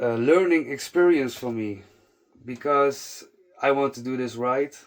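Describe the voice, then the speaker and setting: A man with a non-native accent speaks with ordinary pitch variation. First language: not English. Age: 30s. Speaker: fitness content creator. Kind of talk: casual monologue to camera. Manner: halting, frequent fillers and restarts.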